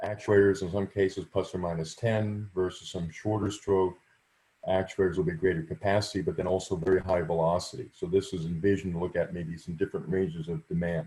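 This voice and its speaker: A man's very deep, low, somewhat breathy voice with a dark, mellow tone, fairly even intonation and a fairly quick pace. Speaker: research facility director presenting. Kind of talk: virtual workshop presentation. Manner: fast.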